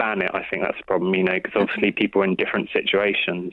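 With an English accent, a man talks at a very fast pace. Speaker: radio caller. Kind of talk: radio phone-in. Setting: phone call.

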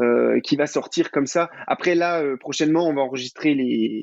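This man has a fairly high pitch and ordinary pitch variation. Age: 20s. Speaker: singer-songwriter. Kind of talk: interview. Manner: casual, hesitant with fillers.

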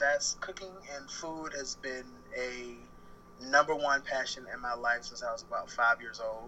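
A man with an American accent and a normal speaking voice, medium in pitch, at a moderate pace, with fairly even intonation and big swings in loudness. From Baltimore, Maryland, US East Coast. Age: 20s. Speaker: freelancer, cook. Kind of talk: casual chat. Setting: phone call.

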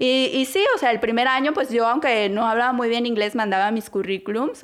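A woman's fairly high voice at a moderate pace against noticeable background noise. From Mexico, Guadalajara. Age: 30s. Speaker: podcast co-host. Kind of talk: casual chat.

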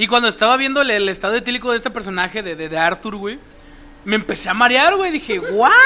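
This man uses a raised, projected voice that is high-pitched, with lively intonation and a very fast pace. Noticeable background noise sits behind him. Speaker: podcast co-host. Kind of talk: casual chat.

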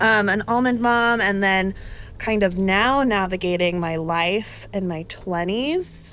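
At a very slow pace, a woman speaks with a medium pitch, ordinary pitch variation and a bright, sharp tone. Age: 20s. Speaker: podcast guest. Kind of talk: casual chat.

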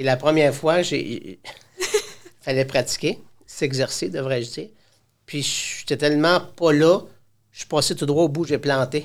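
A man speaks at a fairly high pitch and a fairly slow pace. His pitch varies in an ordinary way, with long, frequent pauses. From Quebec. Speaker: high school teacher. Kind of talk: casual interview. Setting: studio. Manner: talkative.

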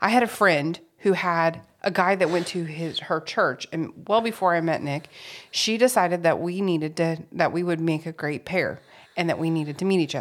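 A woman speaks at a moderate pace in a fairly low voice with ordinary pitch variation, an unremarkable speaking voice, on a very clean recording with a silent background. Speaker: podcast co-host. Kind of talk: casual chat.

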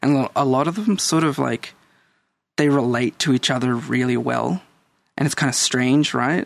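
A man with an Australian accent talks at a moderate pace in a medium pitch, with ordinary pitch variation and a dry, close sound free of echo. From El Salvador, raised in Australia. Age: 30s. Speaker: guest. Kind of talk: casual chat.

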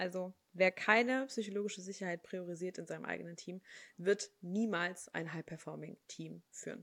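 A woman with a normal speaking voice at medium pitch, ordinary pitch variation, moderate pace and big swings in loudness, in a dry, close sound with no echo on a very clean recording with a silent background. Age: 20s. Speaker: HR consultant. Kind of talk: casual interview.

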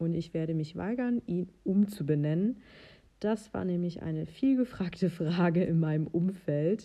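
The voice belongs to a woman with a fairly low pitch. She talks at a fairly slow pace, and her pitch variation is ordinary. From western Germany (North Rhine-Westphalia). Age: 30s. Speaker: podcast host and horse owner. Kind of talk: casual solo podcast monologue. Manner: occasionally stumbling over words.

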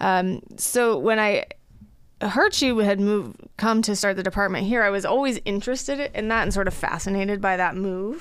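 This is a woman with a plain, everyday voice. She talks at a moderate pace and medium pitch, with ordinary pitch variation. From Colorado, US. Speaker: dermatologist. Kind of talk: interview.

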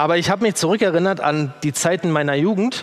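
The pitch varies in an ordinary way. There is music in the background. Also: man. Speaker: preacher. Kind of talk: sermon in a church. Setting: church with congregation. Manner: emotional, earnest, conversational; working from notes.

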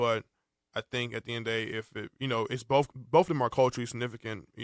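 With a plain, everyday voice of medium pitch and fairly even intonation, a man speaks at a fairly quick pace in a very clean, dry and close recording with no echo and a silent background. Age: 20s. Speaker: student podcast host. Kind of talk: casual chat. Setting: studio.

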